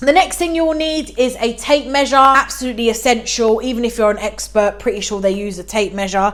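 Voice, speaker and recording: A woman with a British accent speaks at a fairly quick pace with hardly any pauses, her pitch fairly high with ordinary variation. Noticeable background noise sits behind her. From UK. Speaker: DIY YouTuber. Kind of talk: tutorial. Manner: casual, chatty.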